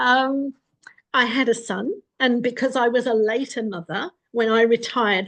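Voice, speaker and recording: A plain, everyday voice, its pitch varying in a normal way. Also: woman. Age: 60s. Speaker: vlogger. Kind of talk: casual monologue. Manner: conversational.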